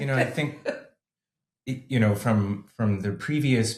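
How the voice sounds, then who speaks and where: This man's voice is somewhat breathy and fairly low in pitch, with ordinary pitch variation. He talks at a fairly slow pace. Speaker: podcast host. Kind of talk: interview question.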